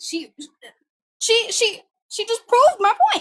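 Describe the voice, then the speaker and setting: With a New York accent, a woman speaks in a raised, projected voice at a fairly slow pace. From New York, Brooklyn. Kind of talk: casual chat.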